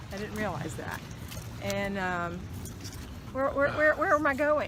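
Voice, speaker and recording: A woman with an American accent talks amid noticeable background noise and audible room echo. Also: fairly slow pace, big swings in loudness. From US South, Jacksonville, Florida. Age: 60s. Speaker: lifestyle vlogger. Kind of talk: casual chat. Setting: outdoors.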